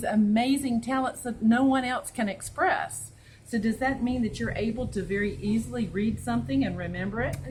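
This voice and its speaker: In a Southern US accent, a woman speaks at a fairly high pitch with lively intonation and a moderate pace, over noticeable background noise. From US South (North Carolina). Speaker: school principal and interviewer. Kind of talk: interview.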